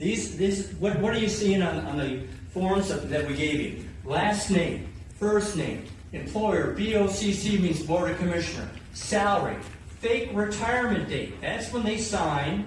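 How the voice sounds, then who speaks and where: A man with a high voice at a fairly slow pace, amid noticeable background noise and audible room echo. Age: 60s. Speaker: taxpayer activist and researcher. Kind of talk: speech to activist meeting. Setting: gathering of activists. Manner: impassioned, rhetorical.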